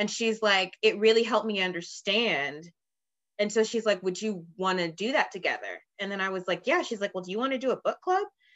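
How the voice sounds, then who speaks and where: A woman talks at a fairly quick pace in a plain, everyday voice. Her pitch is medium, with ordinary pitch variation. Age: 30s. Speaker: guest sharing personal experiences. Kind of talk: casual chat.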